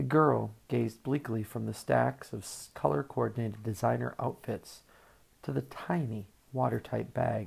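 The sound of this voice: This is an unforced reading voice. It stays that way throughout.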